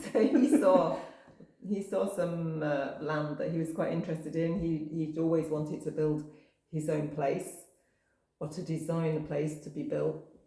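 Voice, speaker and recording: A woman with a northwest English accent speaks slowly-ish, fairly slow in pace, her very deep, low voice dark and mellow under audible room echo. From northwest England, coast near Manchester. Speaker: campsite owner. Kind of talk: casual interview.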